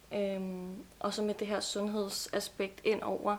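A woman's unremarkable speaking voice in a medium pitch, with fairly even intonation. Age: 20s. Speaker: nutrition student. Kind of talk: casual chat. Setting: studio.

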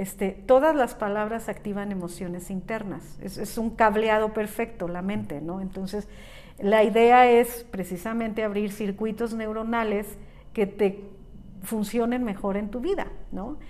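Pitched fairly high, a woman's voice moves along at a fairly slow tempo. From Mexico, San Miguel de Allende. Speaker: life and business coach. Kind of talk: interview conversation. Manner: animated.

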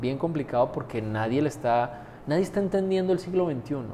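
A man with an ordinary speaking voice, lively intonation and a fairly quick pace. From Colombia. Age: 40s. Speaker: university rector. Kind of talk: interview. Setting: university premises.

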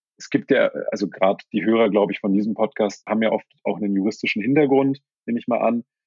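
The speech races along at a very fast pace with fairly even intonation. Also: man, medium pitch for a man. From Germany, Berlin. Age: 30s. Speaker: sports lawyer. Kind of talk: interview. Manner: hesitant with fillers.

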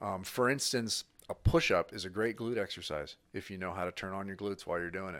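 Speaking very fast with an American accent, a man with a fairly low voice shows ordinary pitch variation in a very clean recording with a silent background. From Northern California, Sacramento. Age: 50s. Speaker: strength coach. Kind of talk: casual chat.

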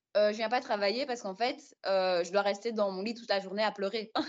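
Here a woman speaks at a fairly quick pace. Her pitch is medium. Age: 20s. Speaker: podcast guest sharing experience of depression. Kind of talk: personal testimony in casual interview. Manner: hesitant, many fillers.

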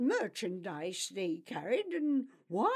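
An unforced voice reads the material.

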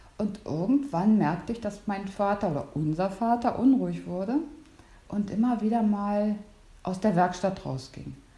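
Audible room echo surrounds a woman who speaks at medium pitch and a moderate pace, with ordinary pitch variation. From northern Germany, near Stralsund. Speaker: host's sister. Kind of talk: casual chat.

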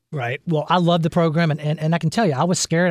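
Over a very clean recording with a silent background, a man speaks fairly quickly in a somewhat breathy voice. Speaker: radio host and financial planner. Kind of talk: radio talk show. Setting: studio. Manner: fast.

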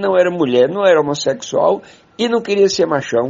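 Lively intonation runs through a man's high-pitched voice. He talks at a fairly quick pace. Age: 70s. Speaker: poet and political activist. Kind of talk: interview conversation.

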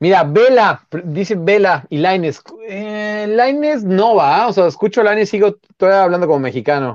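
A man with a high voice speaks at a moderate pace. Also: lively intonation. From Mexico City, Xochimilco. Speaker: football journalist, former player. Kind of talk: casual chat. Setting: live stream.

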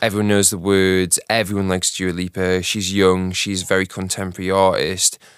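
Speaking at a fairly quick pace with hardly any pauses, a man delivers a very deep, low pitch in a monotone, flat intonation. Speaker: music director. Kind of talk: casual chat.

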